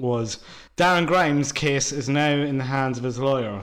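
Audible room echo surrounds a man with an Irish accent. His intonation is fairly even. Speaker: podcast co-host. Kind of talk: casual chat.

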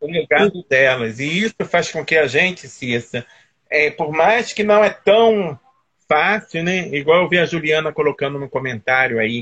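At a fairly slow pace, a man with a plain, everyday voice speaks at a fairly high pitch with lively intonation. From Teresópolis, Rio de Janeiro state, Brazil. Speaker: nurse and former municipal health official. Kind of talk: interview on a live stream.

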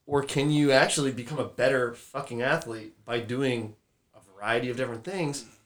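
Moderate pace from a man with an unremarkable speaking voice. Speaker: strength coach. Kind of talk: casual chat.

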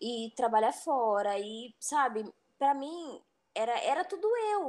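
Lively intonation at a fairly slow pace on a very clean recording with a silent background. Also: woman. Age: 30s. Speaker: HR worker in logistics, former soldier. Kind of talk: casual chat.

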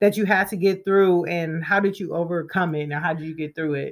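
Her tone animated, a woman speaks on a very clean recording with a silent background. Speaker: podcast host. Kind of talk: casual interview chat. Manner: animated, laughing.

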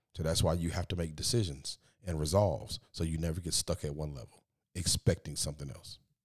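In a dry, close sound with no echo, a man with a very deep, low pitch talks at a fairly quick pace with ordinary pitch variation. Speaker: podcast host and preacher. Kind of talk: motivational solo podcast talk. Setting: hotel room. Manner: sometimes sounds preachy; animated.

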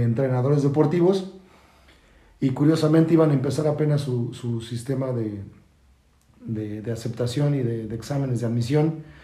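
Amid audible room echo, a man with a fairly high pitch speaks at a fairly quick pace. His tone is dark and mellow, and somewhat breathy. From Mexico City. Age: 40s. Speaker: football coach. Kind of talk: casual chat. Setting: in-person studio recording. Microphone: distorted backup recording.

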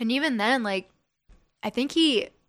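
Speaking at a moderate pace in an American accent, an ordinary speaking voice carries lively intonation on a very clean recording with a silent background. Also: woman. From Las Vegas, US. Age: 20s. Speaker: singer-songwriter. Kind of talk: casual podcast interview. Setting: studio.

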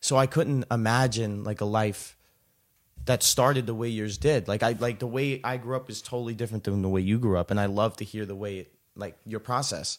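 On a very clean recording with a silent background, a man talks at a fairly quick pace in an ordinary speaking voice, medium in pitch with ordinary variation. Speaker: podcast host. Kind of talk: casual interview chat.

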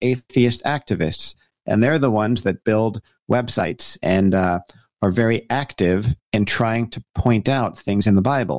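An unremarkable speaking voice with an American accent talks at a moderate pace with lively intonation. The sound is dry and close with no echo, on a very clean recording with a silent background. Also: man. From US Northeast, New Jersey. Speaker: pastor and author. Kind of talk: interview.

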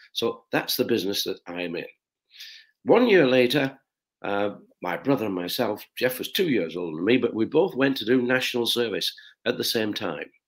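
Lively intonation from a man with a Lancashire accent, medium pitch and a moderate pace. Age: 80s+. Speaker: shoe company founder. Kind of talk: interview storytelling.

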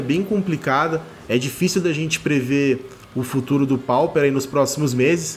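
A man speaks at a moderate pace with a fairly high, somewhat breathy voice and ordinary pitch variation. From Rio de Janeiro, Brazil. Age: 30s. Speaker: card game content creator and writer. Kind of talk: pre-recorded opinion segment. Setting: remote pre-recorded audio.

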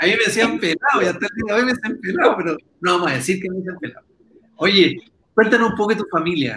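This man speaks very fast in a high, bright, sharp voice with a Chilean accent. His intonation is lively and his voice is raised and projected. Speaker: podcast host. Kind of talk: casual chat.

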